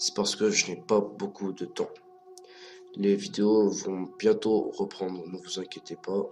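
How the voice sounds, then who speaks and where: Very slow speech from a man over noticeable background noise. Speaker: amateur YouTuber. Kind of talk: casual talk to camera. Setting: poor-quality microphone recording.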